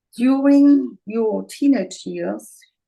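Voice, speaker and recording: A woman speaks with a German accent. Her pace is very slow. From Germany, Bavaria. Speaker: interviewer. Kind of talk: interview. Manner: halting.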